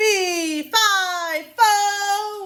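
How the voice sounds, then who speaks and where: A squeaky, put-on character voice bellows at an extremely high pitch. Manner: bellowing.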